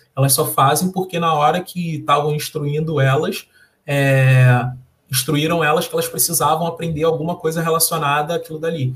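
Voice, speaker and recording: With a Carioca accent, a man speaks at a moderate pace and a fairly high pitch, his intonation monotone and flat. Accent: carioca Brazilian Portuguese. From Rio de Janeiro, Brazil. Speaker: software developer and social entrepreneur. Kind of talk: interview. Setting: live stream.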